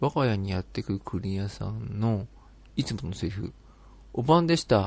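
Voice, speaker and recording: His pitch is fairly low and he moves at a moderate pace. This man's voice makes very wide pitch swings. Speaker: podcast host. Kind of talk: casual chat, interview-style.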